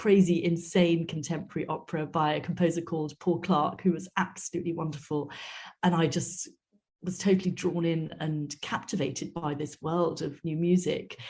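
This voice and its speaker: A woman with a dark, mellow tone and a somewhat breathy, fairly low voice talks at a moderate pace. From Wales. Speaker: opera director. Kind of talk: interview.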